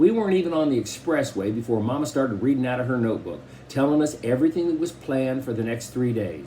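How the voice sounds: The voice is a natural reading voice. Its intonation is lively.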